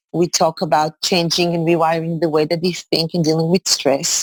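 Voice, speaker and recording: A woman with an Israeli accent speaks at a moderate pace in a fairly low voice, the sound dry and close with no echo. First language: Hebrew. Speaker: executive coach and high school teacher. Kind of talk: interview. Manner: halting.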